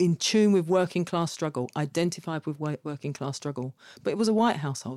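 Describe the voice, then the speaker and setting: Speaking at a fairly quick pace with a London accent, a woman with a fairly low pitch and a dark, mellow tone uses ordinary pitch variation in a dry, close recording with no echo, very clean and with a silent background. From London, Kilburn. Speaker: activist and academic. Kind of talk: casual conversation.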